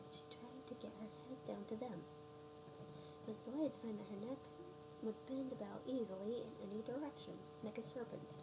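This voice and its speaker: A soft-spoken woman talks at a moderate pace and medium pitch, her pitch swinging very widely, with noticeable background noise. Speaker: ASMR reader. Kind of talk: read story.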